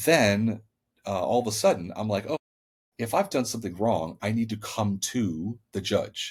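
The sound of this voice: The recording has an unforced reading voice over a quiet background.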